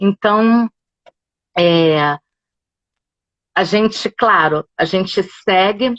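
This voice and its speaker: The sound is close and dry, without any echo. Pitch moves up and down in an ordinary way. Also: woman. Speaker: yoga instructor. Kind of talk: casual chat. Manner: animated. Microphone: phone.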